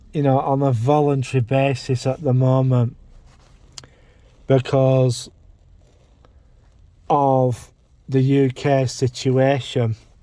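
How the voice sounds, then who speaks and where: At a very slow pace with long, frequent pauses, a man with an English accent speaks at medium pitch in a dark, mellow tone. His intonation is monotone and flat, his loudness very even. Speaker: vlogger. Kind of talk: casual vlog monologue. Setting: in a parked car. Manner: halting, self-repeating.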